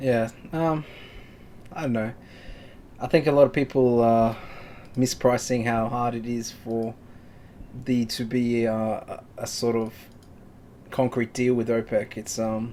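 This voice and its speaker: A man's medium-pitched voice in an Australian accent, fairly slow and monotone, flat in intonation, with long, frequent pauses. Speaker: forex trading live stream host. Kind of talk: casual live market commentary. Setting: live stream.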